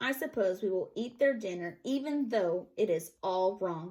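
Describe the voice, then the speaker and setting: Using a put-on character voice, a woman speaks raspily at medium pitch and moderate pace with lively intonation. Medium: read story. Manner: menacing, demanding.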